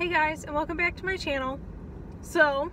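A woman speaks at a moderate pace in a raised, projected voice with fairly even intonation, the sound dry with no echo and light background noise behind her. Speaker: vlogger. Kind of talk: casual vlog chat. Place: car. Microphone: phone near.

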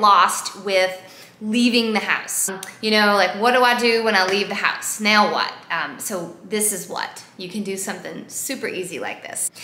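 Speaking at a moderate pace, a woman is heard with audible room echo. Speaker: vegan cooking vlogger. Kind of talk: casual vlog chat. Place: home room. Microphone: phone near.

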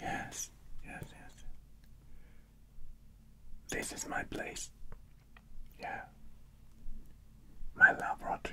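Whispering comes through at a very slow pace. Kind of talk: ASMR role-play, soft instructions. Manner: soft, hushed close-mic ASMR voice.

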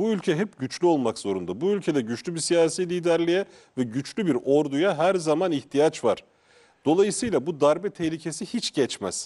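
A man's dark, mellow, fairly high voice with lively intonation, at a moderate pace, over a quiet background. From Turkey. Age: 40s. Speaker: journalist. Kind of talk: panel discussion. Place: studio.

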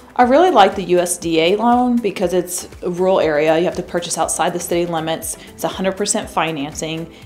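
A woman with an American accent speaks at a fairly quick pace and a fairly low pitch, with hardly any pauses. Her pitch varies in an ordinary way, and faint music plays in the background. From US Midwest, mid-Missouri. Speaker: mortgage loan officer. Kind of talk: promotional interview. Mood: friendly, upbeat. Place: studio.

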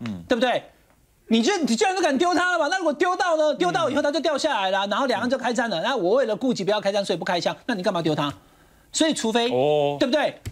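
Against a quiet background, a man talks at a very fast pace with an extremely high pitch and very wide pitch swings. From Taiwan. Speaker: political commentator. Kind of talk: heated debate. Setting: TV studio. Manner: animated. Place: studio. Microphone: lapel.

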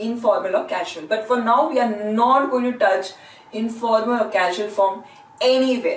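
With an Indian accent, a woman talks in a high voice, and room echo is audible. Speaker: language teacher. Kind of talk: lecture. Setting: classroom. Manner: slow. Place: classroom. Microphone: camera far.

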